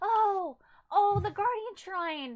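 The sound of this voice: A woman speaks slowly in a put-on character voice at an extremely high pitch. Her intonation is lively.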